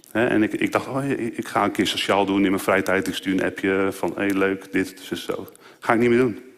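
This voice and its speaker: Fairly low pitch from a man, with ordinary pitch variation at a moderate pace. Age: 30s. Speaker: lay preacher. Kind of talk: sermon.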